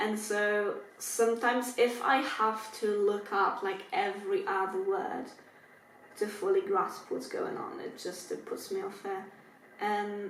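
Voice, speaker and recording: A woman talks at a fairly slow pace with a non-native accent. Noticeable background noise and audible room echo fill the recording. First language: not English. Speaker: book youtuber. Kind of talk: casual chat. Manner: casual, filler-heavy.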